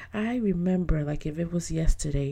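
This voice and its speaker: A woman's somewhat breathy, dark, mellow tone, with ordinary pitch variation at a moderate pace. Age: 40s. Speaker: podcast host. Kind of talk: personal monologue.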